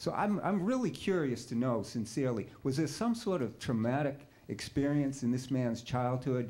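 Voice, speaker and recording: This man's voice sits at a fairly high pitch. There is audible room echo along with noticeable background noise. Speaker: audience member. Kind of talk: heated debate. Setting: in audience, away from the microphone. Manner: fast.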